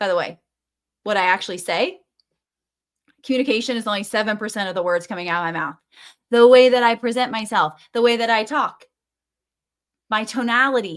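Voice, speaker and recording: Speaking at a fairly quick pace with long, frequent pauses, a woman with a fairly high pitch uses an animated tone and ordinary pitch variation, on a very clean recording with a silent background. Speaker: business coach. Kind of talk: motivational video talk. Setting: face to camera on a tripod. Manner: fast.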